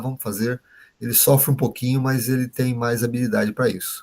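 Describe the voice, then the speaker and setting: A somewhat breathy male voice. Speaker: trainer teaching behavioral profiles. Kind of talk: online workshop lecture.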